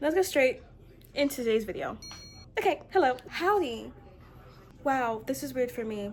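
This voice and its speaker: Lively intonation carries this woman's high-pitched voice. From US mid-Atlantic (DC/Maryland/Virginia area). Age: 20s. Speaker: vlogger. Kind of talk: casual vlog. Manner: fast; stutters.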